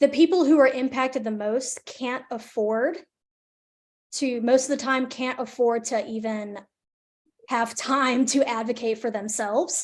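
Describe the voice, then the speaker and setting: Speaking in a Southern US accent, a woman uses a high pitch, a fairly slow pace and fairly even intonation over a quiet background. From northern Alabama, near Decatur. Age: 20s. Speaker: environmental justice advocate, presenter. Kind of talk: webinar Q&A. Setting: video call, live streamed.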